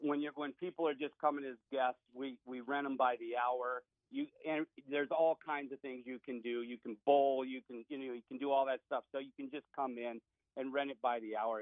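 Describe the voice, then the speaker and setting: At a moderate pace and medium pitch, a man speaks with monotone, flat intonation. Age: 60s. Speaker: business owner. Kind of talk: radio interview.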